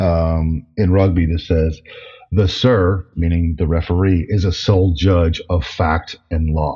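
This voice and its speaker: Fairly slow and very deep, a man's voice comes through with an American accent. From New Jersey, US. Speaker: toy packaging designer. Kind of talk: interview.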